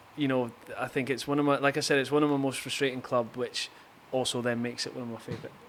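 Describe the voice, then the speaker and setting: A man speaks at a very fast pace in a medium pitch, his intonation monotone and flat, with noticeable background noise. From Scotland, Aberdeen. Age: 30s. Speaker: professional footballer. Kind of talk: casual interview chat. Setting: golf venue with hitting bays.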